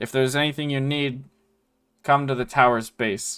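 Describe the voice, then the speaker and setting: Loud, booming put-on character voice from a man at medium pitch, moderate pace, on a very clean recording with a silent background. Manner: formal, proclaiming.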